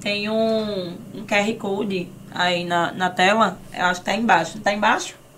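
A woman's medium-pitched voice at a fairly slow pace, with audible room echo. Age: young. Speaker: podcast host and influencer. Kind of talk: sponsor read; casual chat. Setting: studio. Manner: animated.

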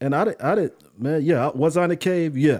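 This man's speech shows ordinary pitch variation. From US South, Charlotte, North Carolina. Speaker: podcast co-host. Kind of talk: casual chat.

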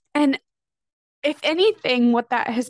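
A woman is speaking. Her pace is moderate. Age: 30s. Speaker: podcast host, former teacher and stay-at-home mom. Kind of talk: personal monologue. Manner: casual, with frequent fillers and laughs.

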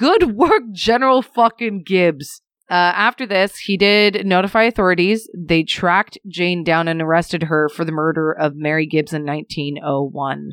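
A woman with an ordinary speaking voice talks at a moderate pace in a fairly low pitch. Her pitch varies in an ordinary way, and the sound is dry and close with no echo. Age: 20s. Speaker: podcast co-host. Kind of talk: casual true-crime storytelling.

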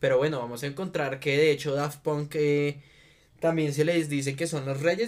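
An ordinary speaking voice from a man, fairly high in pitch, at a moderate pace with fairly even intonation. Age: 20s. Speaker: podcast host. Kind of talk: casual chat.

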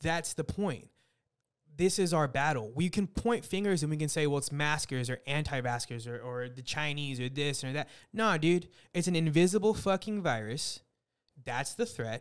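A plain, everyday voice at a moderate pace, with lively intonation. The recording is very clean, with a silent background. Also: man, fairly high pitch for a man. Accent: American. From Texas, San Antonio. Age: 30s. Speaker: restaurant professional. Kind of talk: casual chat.

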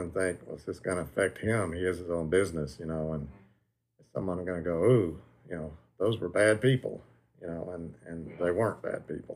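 This man speaks with a Tennessee accent. His pitch is very deep and low. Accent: Southern US (Tennessee). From Tennessee, McMinnville. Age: 60s. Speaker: grandson of a prohibition agent, retired security inspector. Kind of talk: interview. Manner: halting, many fillers.

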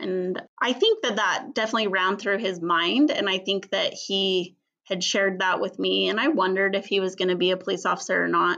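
A woman with a plain, everyday voice talks at a fairly quick pace, with medium pitch and ordinary pitch variation. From Utah. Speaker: police officer's widow. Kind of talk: interview testimony.

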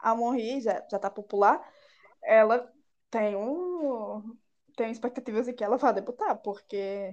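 In a normal speaking voice, a woman talks at a fairly high pitch and a fairly slow pace with ordinary pitch variation. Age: 20s. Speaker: podcast co-host. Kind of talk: casual chat.

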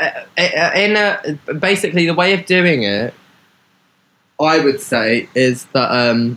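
A man's fairly high, bright, sharp voice with very wide pitch swings. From southeast London and Hastings. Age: 20s. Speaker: visual artist and fashion designer. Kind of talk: casual interview chat. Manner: animated.

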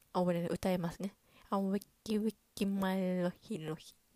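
Fairly quick, animated delivery with a dry, close sound and no echo. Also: woman. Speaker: podcast host. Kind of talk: solo casual chat. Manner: fast; animated, laughing often.

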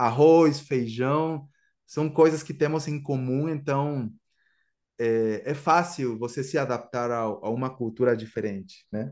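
Speaking very slowly in a Guatemalan accent, a man uses a medium pitch with ordinary pitch variation against a quiet background. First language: Spanish (speaking Portuguese). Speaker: musician and Spanish teacher. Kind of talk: casual interview.

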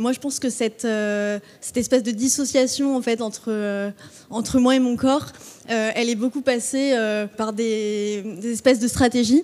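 A woman speaks at a fairly high pitch with fairly even intonation. Noticeable background noise sits behind her. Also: fairly slow pace. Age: 20s. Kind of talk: live panel talk. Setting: stage with audience. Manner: hesitant, many fillers.

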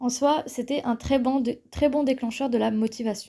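A woman's dark, mellow, somewhat breathy voice at a fairly slow pace. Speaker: podcaster and engineering student. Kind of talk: solo podcast monologue. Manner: hesitant with frequent fillers.

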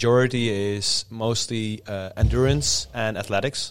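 With a Dutch accent, a man talks at a fairly slow pace and with fairly even intonation. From Netherlands. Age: 30s. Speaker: strongman athlete and coach. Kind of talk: casual chat.

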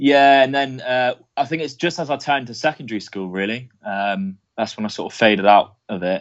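Lively intonation marks this English accent. The speech runs at a fairly quick pace with hardly any pauses. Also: man, medium pitch for a man. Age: 20s. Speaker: wrestling fan guest. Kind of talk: casual chat.

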